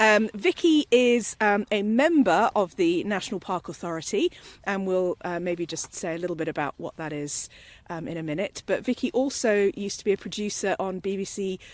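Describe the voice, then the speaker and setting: A woman's medium-pitched voice with lively intonation at a moderate pace, dry and close with no echo. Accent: British. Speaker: podcast presenter. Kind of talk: casual podcast conversation. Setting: outdoors at dusk.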